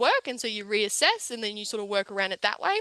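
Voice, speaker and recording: A woman with an Australian accent, her tone bright and sharp, at a fairly quick pace in a dry, close sound with no echo. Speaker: panelist, young professional. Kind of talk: panel discussion. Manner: loud; animated.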